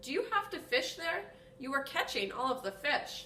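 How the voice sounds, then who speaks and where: A female-sounding, put-on character voice speaks at a high pitch with very wide pitch swings. The pace is moderate, with clear background noise. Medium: read story.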